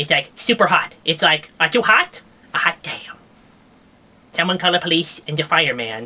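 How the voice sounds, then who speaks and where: A man puts on a cartoonish character voice. He speaks at a moderate pace. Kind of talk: comedic puppet science news show. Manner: rambling, jokey.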